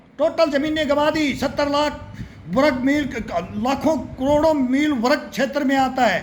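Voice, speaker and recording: There is noticeable background noise behind this man. His pitch is extremely high. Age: 60s. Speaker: political commentator. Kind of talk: political rant. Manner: animated.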